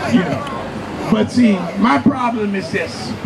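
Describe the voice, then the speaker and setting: Crowd noise fills the background as a man with a high pitch speaks amid audible room echo. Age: 60s. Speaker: tenant association president. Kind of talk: rally speech. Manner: halting, repetitive.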